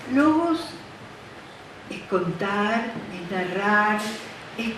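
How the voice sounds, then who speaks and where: Audible room echo and noticeable background noise both run through the clip. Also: woman. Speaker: audience member at book event. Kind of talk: informal remarks at event.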